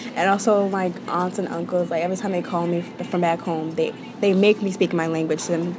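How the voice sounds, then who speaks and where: Over noticeable background noise, a woman speaks very fast at a medium pitch with fairly even intonation. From born in Nigeria, raised mainly in the US. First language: Yoruba, learned alongside English. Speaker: interviewee. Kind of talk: interview testimony.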